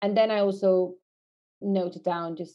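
This voice carries a Norwegian accent. The intonation is monotone and flat. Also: woman. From Norway. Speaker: music marketing project manager. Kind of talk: interview. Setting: remote call from quarantine room.

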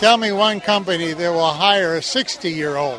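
Over crowd noise in the background, a high-pitched man talks at a fairly slow pace. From Mississippi. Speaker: retired steelworker. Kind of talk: street interview.

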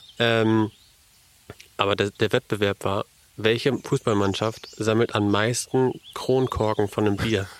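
Fairly even intonation in a man's unremarkable speaking voice. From Elmshorn, northern Germany. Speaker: businessman. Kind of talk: casual chat.

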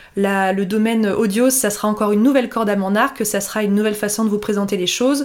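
Her intonation fairly even and her pitch medium, the woman talks at a fairly quick pace. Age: 30s. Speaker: blogger and podcast host. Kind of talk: solo podcast monologue. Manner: casual, hesitant with fillers.

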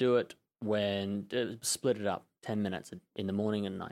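In a very clean recording with a silent background, a man with an Australian accent speaks fairly slowly, with a fairly low pitch and monotone, flat intonation. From Australia, Melbourne. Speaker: personal trainer. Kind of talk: interview.

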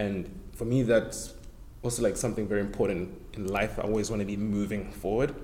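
In a South African accent, the speaker talks at a fairly quick pace with fairly even intonation. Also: man, fairly low pitch for a man. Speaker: actor. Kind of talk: casual chat.

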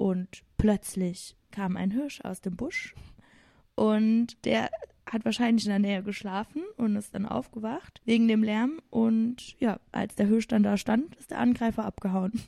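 A woman speaks fairly slowly in a fairly high, somewhat breathy voice with a dark, mellow tone and ordinary pitch variation. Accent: Saarland. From Saarland, Germany. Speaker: teacher, host's sister. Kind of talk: casual chat.

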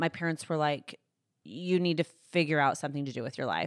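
With a Texan accent, the speaker moves at a fairly quick pace and fairly even intonation, recorded very cleanly against a silent background with a dry, close sound and no echo. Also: woman. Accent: Texan American. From Texas, Fort Worth. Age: 30s. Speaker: lifestyle blogger. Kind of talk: interview. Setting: studio.

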